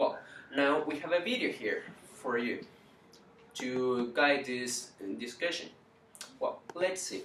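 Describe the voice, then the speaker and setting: A man with a Spanish accent speaks at a very slow pace, leaving long, frequent pauses, his fairly high pitch moving with ordinary variation. Audible room echo and noticeable background noise are present. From Chile. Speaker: university student. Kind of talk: class presentation. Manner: halting.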